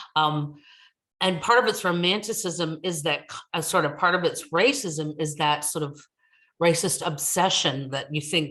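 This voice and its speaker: With an American accent, a woman speaks at a moderate pace in a very deep, low voice, her pitch varying in an ordinary way. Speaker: ethnomusicologist, university academic. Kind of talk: academic talk at virtual book launch. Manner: halting, many fillers.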